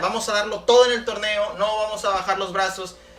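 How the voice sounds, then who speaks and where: This is a man's voice. Noticeable background noise can be heard behind him. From Mexico. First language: Spanish. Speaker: competitive card game player. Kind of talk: prepared self-introduction.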